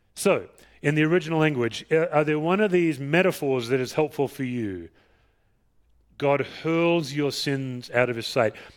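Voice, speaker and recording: A man with an Australian accent at a moderate pace and fairly high pitch, with long, frequent pauses, on a very clean recording with a silent background. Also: ordinary pitch variation. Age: 50s. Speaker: pastor. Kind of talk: sermon. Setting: church.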